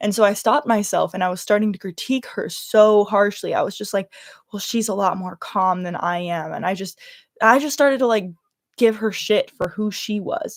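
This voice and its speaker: A woman speaks at a medium pitch with a slight Californian accent. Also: ordinary pitch variation, moderate pace. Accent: Californian, slight Valley Girl. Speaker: YouTuber livestreaming. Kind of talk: casual livestream chat.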